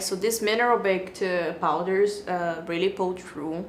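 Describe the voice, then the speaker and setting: Over noticeable background noise and audible room echo, a woman with a medium pitch speaks at a fairly slow pace. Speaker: beauty vlogger. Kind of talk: product review.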